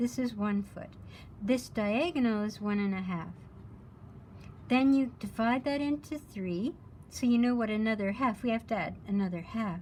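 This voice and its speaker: The speech moves at a fairly slow pace and sounds somewhat breathy. Long, frequent pauses break it up. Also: woman. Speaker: art teacher. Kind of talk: lecture.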